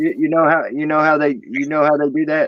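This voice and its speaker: Ordinary pitch variation marks this man's fairly high voice. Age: 40s. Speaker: panelist in live chat stream. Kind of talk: casual chat. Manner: halting.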